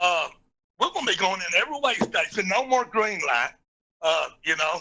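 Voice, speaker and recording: A man speaks in a raised, projected voice at a high pitch. His tone is bright and sharp, and his pace fairly quick. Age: 60s. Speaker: truck driver. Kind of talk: call-in comment. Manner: halting.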